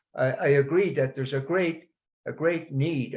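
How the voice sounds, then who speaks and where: A man's somewhat breathy voice, fairly high in pitch, with ordinary pitch variation. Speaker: audience member asking a question. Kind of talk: Q&A on a video call. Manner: halting, many hesitations.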